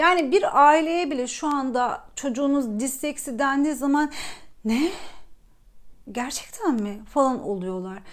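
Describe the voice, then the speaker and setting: A high-pitched woman with lively intonation at a fairly slow pace, in audible room echo. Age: 30s. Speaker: personal development coach, YouTuber. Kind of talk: personal talk to camera. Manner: halting, many fillers.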